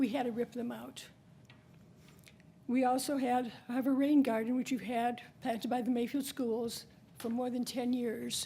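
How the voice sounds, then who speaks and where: In a room with audible echo, a woman speaks in a high pitch with a dark, mellow tone and monotone, flat intonation, leaving long, frequent pauses. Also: moderate pace. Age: 80s+. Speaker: resident speaking at public comment. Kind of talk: public comment at city council meeting. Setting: city council meeting. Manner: halting.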